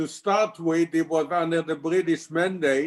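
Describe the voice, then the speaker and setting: Here a man speaks with an Israeli accent, his pitch fairly high. His intonation is monotone and flat. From Israel (Tel Aviv area). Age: 80s+. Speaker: congregation member. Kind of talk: life story interview.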